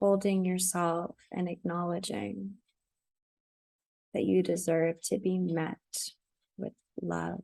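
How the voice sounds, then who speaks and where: A woman with a fairly low pitch and a dark, mellow, gentle tone speaks very slowly. Her intonation stays monotone and flat, broken by long, frequent pauses. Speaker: meditation guide, self-love coach and energy healer. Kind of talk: guided heart meditation. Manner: slow, gentle, with long pauses.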